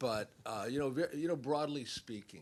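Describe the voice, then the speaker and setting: Vocal fry runs through a man's voice as he speaks at a fairly slow pace. His pitch swings very widely. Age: 70s. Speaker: film subject and hip hop expert. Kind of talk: panel talk after screening.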